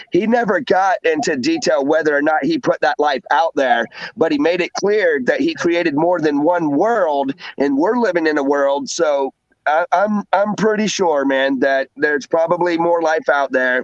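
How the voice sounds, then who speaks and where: Speaking with an American accent at a moderate pace, a man uses a fairly high pitch, ordinary pitch variation and very even loudness in a dry, close sound with no echo. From US South. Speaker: livestream host. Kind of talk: casual chat. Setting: livestream. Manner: animated.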